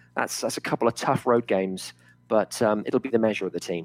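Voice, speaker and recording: The recording sounds dry and close, without any echo. A man's speech moves along fairly quickly. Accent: southern English. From England, Oxford. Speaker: sports podcast co-host. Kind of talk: casual chat.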